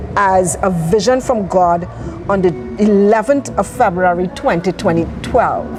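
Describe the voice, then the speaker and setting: A woman with a Trinidadian accent, music in the background. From Trinidad, East Port of Spain (Laventille). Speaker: charity founder. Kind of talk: interview.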